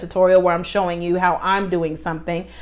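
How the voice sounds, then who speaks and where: A woman with an animated tone. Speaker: small business owner and YouTuber. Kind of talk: casual vlog talk to camera. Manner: fast.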